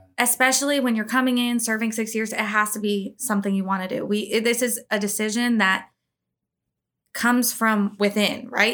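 With a fairly high pitch, a woman talks at a moderate pace in a monotone, flat delivery. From moved around the US. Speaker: military career advisor. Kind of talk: casual chat.

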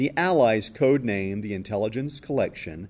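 Here is an ordinary speaking voice with lively intonation. The recording is very clean, with a silent background. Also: man. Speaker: museum audio tour narrator. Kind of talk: scripted museum audio-tour narration, educational-film style. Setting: museum audio guide. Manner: formal, measured, even-paced.

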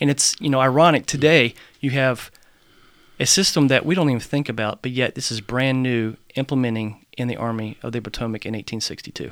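In a very clean recording with a silent background, a man with an ordinary speaking voice talks at a fairly quick pace, his pitch medium with ordinary variation. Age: 40s. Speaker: military history podcast co-host. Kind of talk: casual conversation about history.

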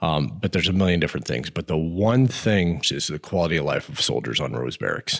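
A man with an American accent speaks at a very deep, low pitch with vocal fry. His pitch swings very widely at a fairly quick pace. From Montana, US. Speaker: army command sergeant major. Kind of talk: interview podcast.

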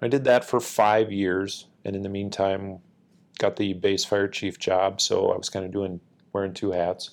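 This man has an Upper Midwest accent and a fairly low pitch. His intonation is monotone and flat at a moderate pace, on a very clean recording with a silent background. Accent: Upper Midwest (Minnesota). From Minnesota, Northfield. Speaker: military senior enlisted leader. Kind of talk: interview, casual chat.

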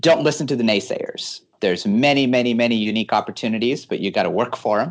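A man with a Californian accent talks at a very fast pace with lively intonation. His pitch is medium, and the background is quiet. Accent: Californian American. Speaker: air force research officer. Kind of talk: interview.

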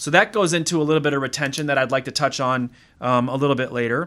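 A man with an American accent speaks at a fairly quick clip. His tone is upbeat and enthusiastic, bright and sharp. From US Midwest, Wisconsin. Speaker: military base commander and podcast host. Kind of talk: casual interview. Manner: upbeat, enthusiastic.

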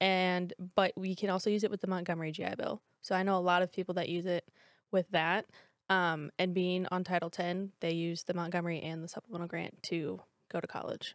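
Fairly quick, fairly low-pitched female speech with an American accent and monotone, flat intonation, on a very clean recording with a silent background and a dry, close sound with no echo. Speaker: air national guard imagery analyst and student. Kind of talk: podcast interview.

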